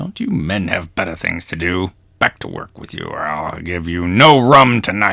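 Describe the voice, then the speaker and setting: At a moderate pace, a man uses a put-on character voice pitched very deep and low. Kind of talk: rough, bad pirate accent. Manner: scolding, commanding.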